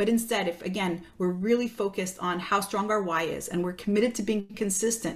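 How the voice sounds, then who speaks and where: With a plain, everyday voice, a woman at a medium pitch talks at a fairly quick pace with fairly even intonation. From Quebec, Canada. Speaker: fitness coach. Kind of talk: podcast interview.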